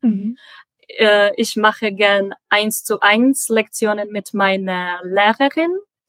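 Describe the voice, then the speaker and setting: A woman with a Czech accent talks at a very slow pace, her fairly high pitch showing ordinary variation. The sound is dry and close, with no echo. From Czech Republic, Prague. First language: Czech (speaking German). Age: 20s. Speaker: logistics dispatcher, German learner. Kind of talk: interview. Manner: halting, many fillers.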